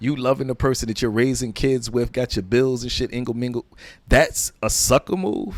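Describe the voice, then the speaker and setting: An animated voice with an American accent, in a dry, close sound with no echo. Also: man, medium pitch for a man, moderate pace. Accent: New York accent, stronger when angry. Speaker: comedian. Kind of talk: casual chat.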